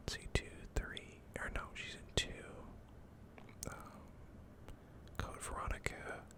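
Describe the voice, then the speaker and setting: Someone whispers at a very slow pace with long, frequent pauses amid noticeable background noise. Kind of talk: casual talk to camera. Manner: whispered.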